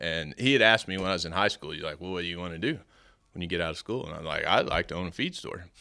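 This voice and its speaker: A man with a West Texas accent speaks at a very fast pace in a very deep, low voice with ordinary pitch variation. The recording is very clean, with a silent background. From Amarillo, Texas. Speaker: farrier supply business owner. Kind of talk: casual interview. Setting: live at a farrier clinic.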